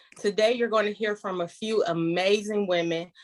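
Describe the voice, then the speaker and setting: A woman with an American accent talks in a normal speaking voice at a moderate pace, with ordinary pitch variation and a dry, close sound with no echo. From Detroit, Michigan. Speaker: panel host, marriage counselor. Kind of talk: moderated online panel.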